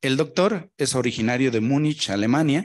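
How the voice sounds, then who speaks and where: Speech comes at a fairly slow pace with ordinary pitch variation. The background is quiet. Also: man. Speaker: event moderator. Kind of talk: formal event hosting. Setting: lecture hall. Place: meeting room.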